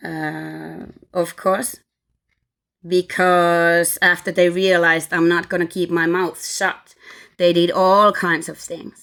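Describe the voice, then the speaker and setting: Her pitch fairly low and her intonation flat and monotone, a woman with a Finnish accent speaks at a very slow pace in a very clean recording with a silent background. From Finland. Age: 40s. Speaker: vlogger. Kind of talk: personal testimony. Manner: halting.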